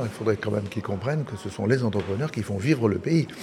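A medium-pitched male voice comes through noticeable background noise. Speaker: auctioneer. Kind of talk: interview.

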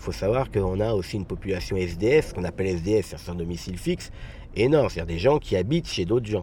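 A man with a very deep, low voice talks at a very fast pace, his intonation lively. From Garges-lès-Gonesse, Paris suburbs. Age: 40s. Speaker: local councillor. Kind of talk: interview. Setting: outdoors.

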